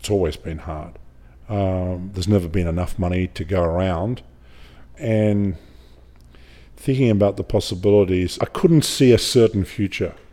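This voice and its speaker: In an Australian accent, a man speaks at a moderate pace with long, frequent pauses, a very deep, low pitch, a dark, mellow tone and ordinary pitch variation. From Australia (Griffith, rural New South Wales). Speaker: film director. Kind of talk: interview. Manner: halting.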